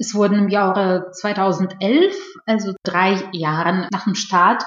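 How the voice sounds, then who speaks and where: A somewhat breathy woman's voice at medium pitch, in a Russian accent and at a very slow pace. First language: Russian (speaking German). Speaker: PR professional and media researcher. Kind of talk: interview. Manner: formal, partly reading from prepared text.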